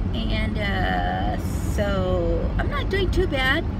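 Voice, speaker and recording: A woman's voice comes through loud background noise. The sound itself is dry, with no echo. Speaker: beauty and lifestyle vlogger. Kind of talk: casual talk to camera. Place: car. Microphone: phone near.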